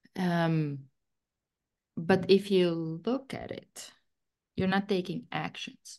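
Speaking very slowly with long, frequent pauses, a woman with a Latvian accent keeps a fairly low pitch and ordinary pitch variation. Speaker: guest discussing personal growth. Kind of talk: casual chat. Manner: halting.

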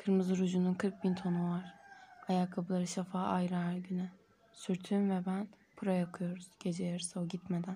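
Here a woman speaks at a moderate pace and medium pitch, somewhat breathy. Her tone is dark and mellow, and her intonation is monotone and flat. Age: 30s. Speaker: poet. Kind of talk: reading aloud.

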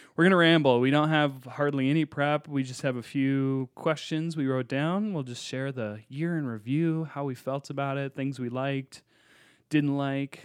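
A man with a plain, everyday voice speaks at a moderate pace with fairly high pitch and fairly even intonation. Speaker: podcast co-host and pastor. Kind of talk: casual chat.

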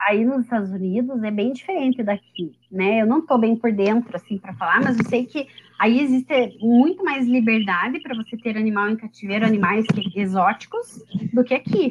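Noticeable background noise runs under this recording. A woman talks at a moderate pace in a fairly high pitch. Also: ordinary pitch variation. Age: 30s. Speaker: lawyer and animal-rights advocate. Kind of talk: casual chat.

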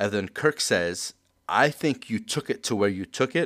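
At a fairly slow pace, a man speaks in a plain, everyday voice with a fairly low pitch. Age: 30s. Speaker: podcast host. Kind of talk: casual chat.

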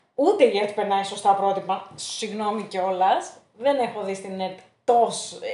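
Audible room echo surrounds a woman's dark, mellow tone. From Thessaloniki, Greece. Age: 20s. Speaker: interview guest, accounting graduate. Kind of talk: casual interview. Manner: hesitant, many fillers.

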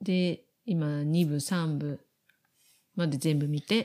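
A woman's voice with a dark, mellow tone. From Japan. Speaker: podcast co-host. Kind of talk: casual chat.

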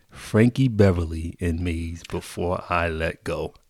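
Ordinary pitch variation in a very clean recording with a silent background. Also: man. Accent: American. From Connecticut, US. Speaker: club DJ. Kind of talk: casual interview chat.

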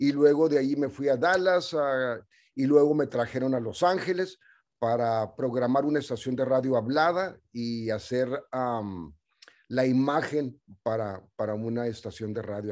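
On a very clean recording with a silent background, a man speaks at a fairly slow pace and medium pitch in a normal speaking voice. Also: lively intonation. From US-Mexico border, El Paso / Ciudad Juárez. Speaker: radio programmer and community activist. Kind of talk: casual interview.

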